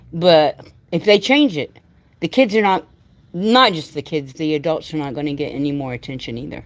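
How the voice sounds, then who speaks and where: The delivery has lively intonation, big swings in loudness and a moderate pace. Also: woman, very deep, low pitch for a woman. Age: 60s. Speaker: livestreamer, missing persons advocate. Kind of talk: casual chat. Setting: livestream.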